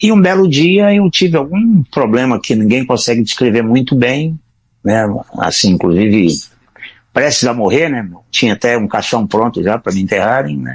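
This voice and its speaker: A moderate pace with very wide pitch swings. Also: man, medium pitch for a man. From Brazil, Ceará (Northeast). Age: 60s. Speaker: retired-age programmer, blind since infancy. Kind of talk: podcast interview.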